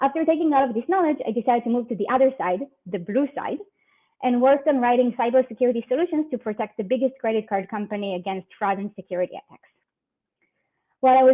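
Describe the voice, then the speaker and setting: A woman with an Israeli accent, high-pitched, very fast, and with lively intonation. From Israel, near Tel Aviv. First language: Hebrew. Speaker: security research manager. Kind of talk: conference talk.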